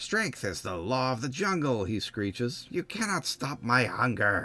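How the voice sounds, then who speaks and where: A man talks in a put-on character voice at a moderate pace. His tone is shrill, and his pitch sits in the middle range. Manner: screeching, menacing.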